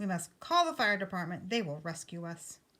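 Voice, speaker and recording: Using a put-on character voice at a medium pitch, a woman speaks at a fairly quick pace. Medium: read story. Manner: confident, commanding.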